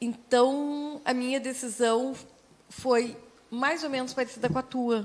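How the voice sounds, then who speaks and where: A woman speaks with a high pitch at a very slow pace. Her intonation stays fairly even. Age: 60s. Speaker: radio host. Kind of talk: casual chat.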